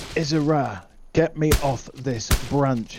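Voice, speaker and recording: A put-on character voice from a man, growling at a fairly high pitch and a fairly slow pace, with ordinary pitch variation. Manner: snarling.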